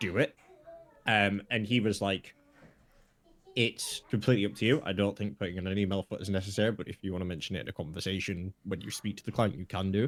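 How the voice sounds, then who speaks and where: The man's delivery is very fast, and his pitch rises and falls in an ordinary way. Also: fairly low pitch for a man. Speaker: podcast co-host. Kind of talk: casual chat. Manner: rapid when stressed.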